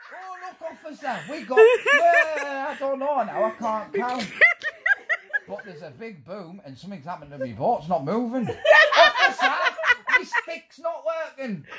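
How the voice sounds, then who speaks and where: In a put-on character voice, a man sounds whiny, raised and projected, his pitch extremely high, with long, frequent pauses. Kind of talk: comic overacting. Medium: fan dub. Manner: blustering, then confused and whiny.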